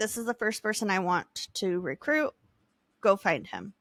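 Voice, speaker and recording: Putting on a raspy character voice, a woman talks at a medium pitch and a moderate pace. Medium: solo performance.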